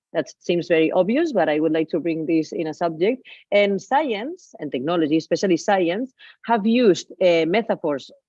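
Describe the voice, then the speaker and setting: Speaking with a Spanish accent, a woman uses lively intonation at a fairly low pitch. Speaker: digital artist. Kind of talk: lecture. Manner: halting.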